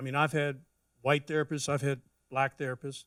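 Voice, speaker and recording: This is a man speaking. He has an American accent. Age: 60s. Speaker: panelist. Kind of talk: panel discussion.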